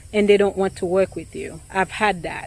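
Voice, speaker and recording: A woman with a non-native accent and medium pitch. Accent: noticeable foreign. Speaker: realtor. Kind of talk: vlog monologue. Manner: hesitant, many fillers.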